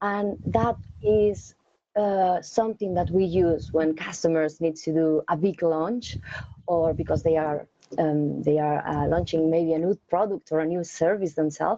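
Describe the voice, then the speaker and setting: A woman speaks with a Spanish accent at a fairly slow pace. Her voice is fairly low, with ordinary pitch variation and very even loudness. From Spain. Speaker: technical account manager, cloud engineer. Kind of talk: interview Q&A. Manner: hesitant, many fillers and repetitions.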